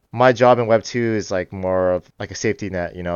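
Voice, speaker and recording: Talking very fast, a man keeps an ordinary amount of pitch variation. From US West Coast, San Francisco Bay Area. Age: 30s. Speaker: cybersecurity analyst and Web3 community advisor. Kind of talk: casual interview chat.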